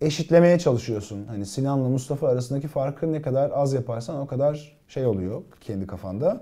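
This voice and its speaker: Over a quiet background, a man with a dark, mellow, somewhat breathy tone speaks at a fairly quick pace with lively intonation and hardly any pauses. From Turkey, Gaziantep; Turkey. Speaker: TV actor and writer; actor answering fan questions. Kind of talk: casual live-stream Q&A. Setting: live stream, alone reading viewer comments. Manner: hesitant, many filler sounds. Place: office.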